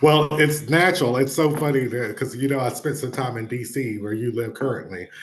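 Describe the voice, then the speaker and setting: In a Southern US accent, a man speaks at medium pitch with ordinary pitch variation and a somewhat breathy voice. His pace is fairly quick, with hardly any pauses. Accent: Southern accent, retained. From North Carolina. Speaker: education advocate, former state legislator. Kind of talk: interview.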